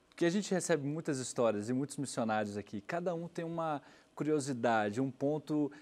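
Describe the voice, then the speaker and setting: Lively intonation carries speech at a fairly quick pace. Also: man. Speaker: TV program host. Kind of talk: interview. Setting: studio. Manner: animated. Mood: friendly, curious. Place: studio. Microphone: lapel.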